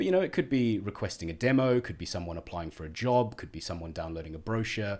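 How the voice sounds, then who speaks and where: A man with a slight South African accent and fairly low pitch talks at a very fast pace, with hardly any pauses. His intonation is lively, and his loudness swings widely. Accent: South African, slight twang. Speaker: head of marketing at a tech company. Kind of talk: podcast interview.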